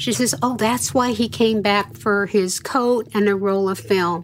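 A normal speaking voice from a woman at medium pitch, with ordinary pitch variation and a fairly slow pace. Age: 60s. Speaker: abuse survivor, daughter of the family. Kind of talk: interview testimony.

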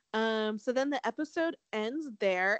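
With an animated tone, a woman speaks at a medium pitch with ordinary pitch variation in a dry, close sound with no echo.

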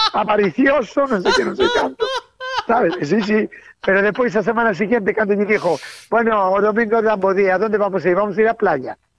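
This woman has an ordinary speaking voice at a medium pitch with ordinary pitch variation. She talks at a fairly quick pace with very even loudness. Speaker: radio collaborator. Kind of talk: casual chat.

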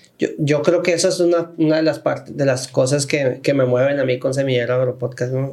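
In an unremarkable speaking voice, a man with a fairly high pitch talks at a fairly quick pace with hardly any pauses, very even loudness and fairly even intonation. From Sinaloa, Mexico. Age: 30s. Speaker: podcast host and magazine director. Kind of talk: casual interview chat. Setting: studio.

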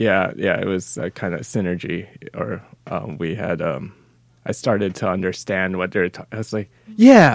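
At a moderate pace, a man speaks at a very deep, low pitch with vocal fry, long, frequent pauses and big swings in loudness. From Canada. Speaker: podcast host. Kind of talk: casual chat.

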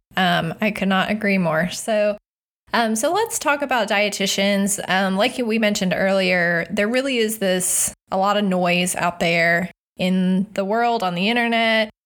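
At a moderate pace, a woman with an ordinary speaking voice talks at medium pitch with fairly even intonation. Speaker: podcast host. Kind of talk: casual interview.

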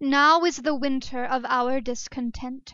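A female-sounding, put-on character voice, high in pitch and fairly slow in pace. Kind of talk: grand theatrical. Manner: theatrical, declamatory.

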